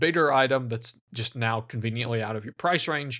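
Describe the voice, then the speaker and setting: At a moderate pace, a man speaks at a medium pitch in a very clean recording with a silent background. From United States. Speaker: gaming video essayist. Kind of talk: video essay narration. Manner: casual, sarcastic.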